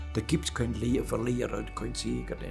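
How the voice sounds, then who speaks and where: A man keeps to a moderate pace while music sounds behind him. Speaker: retired works council chairman, master machinist. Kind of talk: interview answer. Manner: blunt, outspoken.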